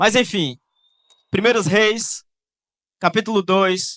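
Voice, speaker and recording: In a raised, projected voice with a bright, sharp tone, a man speaks at a fairly slow pace with fairly even intonation, recorded dry and close with no echo. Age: 20s. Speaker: youth pastor. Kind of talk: sermon.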